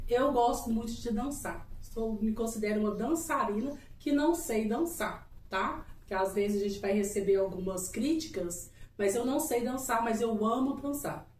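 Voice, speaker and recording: A woman with a fairly high pitch talks at a fairly slow pace in an animated tone, with audible room echo. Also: ordinary pitch variation. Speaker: couple channel co-host. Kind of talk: casual chat.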